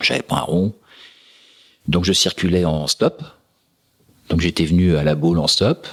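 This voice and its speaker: A man's very deep, low voice at a fairly slow pace. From France. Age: 60s. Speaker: sailing race router. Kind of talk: podcast interview answer. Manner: direct.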